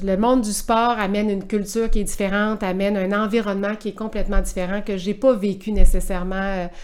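This woman has a plain, everyday voice. She speaks at a moderate pace. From Quebec City. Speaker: sports event director. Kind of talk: interview.

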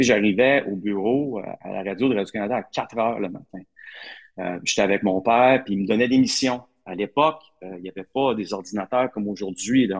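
A normal speaking voice from a man, ordinary pitch variation and big swings in loudness over a quiet background. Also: fairly low pitch for a man, fairly quick pace. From Quebec, Hull (Outaouais). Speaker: sports reporter. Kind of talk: interview.

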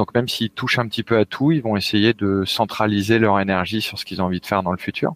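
A man talks at a very fast pace with hardly any pauses, in a fairly low pitch with fairly even intonation. The recording is very clean with a silent background, and the sound is dry and close with no echo. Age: 30s. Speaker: video game technical artist. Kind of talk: interview. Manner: halting, frequent repetitions.

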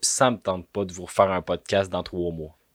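A man with a Quebec accent, a dry, close sound with no echo, and a very clean recording over a silent background. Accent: Québécois French. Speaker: podcaster. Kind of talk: comedic monologue. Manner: animated.

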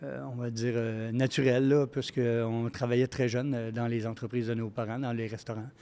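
A man talks at a moderate pace with a medium pitch and hardly any pauses. His tone is dark and mellow, his intonation fairly even. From Quebec (Montreal, then Saint-Félix). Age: 60s. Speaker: restaurant chain executive. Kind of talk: casual interview. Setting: microbrewery, live recording.

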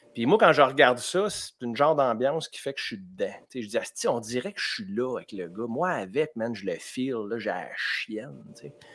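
In a Quebec accent, a man talks at a moderate pace and medium pitch, with lively intonation, big swings in loudness, hardly any pauses, and a very clean recording over a silent background. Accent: Québécois French. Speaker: comedian. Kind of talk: comedic quiz show.

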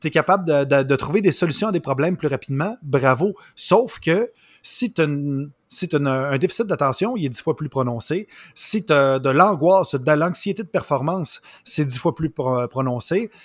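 A man with a Quebec accent, fairly high in pitch, with lively intonation at a moderate pace, in a dry, close sound with no echo and a very clean recording with a silent background. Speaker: comedian. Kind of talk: casual chat.

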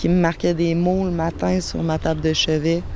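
Against noticeable background noise, a woman speaks at a fairly low pitch with monotone, flat intonation. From Quebec City. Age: 30s. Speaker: guest living with bipolar disorder. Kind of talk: testimony. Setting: outdoors in a garden.

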